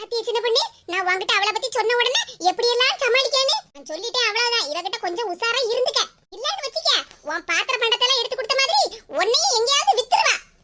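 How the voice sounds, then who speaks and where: A woman does a cartoonish character voice at an extremely high pitch. It sounds squeaky and moves at a fairly quick pace. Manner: busybody, loud.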